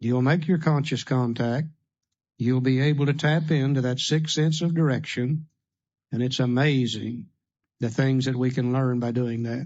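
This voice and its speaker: Keeping his intonation fairly even, a man speaks at a moderate pace and medium pitch in an unremarkable speaking voice. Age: 60s. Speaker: AA speaker. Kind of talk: recovery workshop talk. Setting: room with audience.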